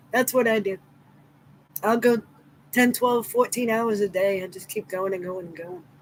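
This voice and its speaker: Her pitch is fairly high, and she has an American accent. The woman's pitch varies in an ordinary way. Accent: New England accent, noticed by others. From Massachusetts. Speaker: crochet livestreamer. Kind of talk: casual live stream chat. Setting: live stream.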